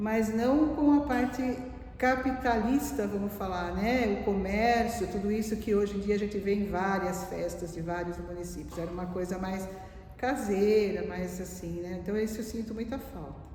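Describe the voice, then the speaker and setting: The pitch varies in an ordinary way. Noticeable background noise and audible room echo can be heard. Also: woman, medium pitch for a woman, moderate pace. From Valinhos, São Paulo state, Brazil. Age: 60s. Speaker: retired administrative manager. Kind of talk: oral history interview. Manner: conversational, reminiscent.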